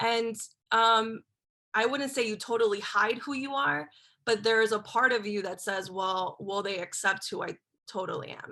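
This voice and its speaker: A woman speaks at a moderate pace in a bright, sharp tone with a fairly high pitch. Her pitch varies in an ordinary way, and the background is quiet. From Miami, Florida (Spanish-speaking home). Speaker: journalist. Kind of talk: panel discussion.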